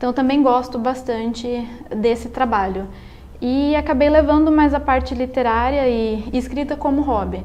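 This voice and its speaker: A woman speaks at a high pitch and a moderate pace, her intonation fairly even. The room echo is audible and background noise is noticeable. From Brazil, São Paulo state (Salto). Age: 20s. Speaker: engineering student and amateur writer. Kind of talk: interview. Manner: halting, with repetitions.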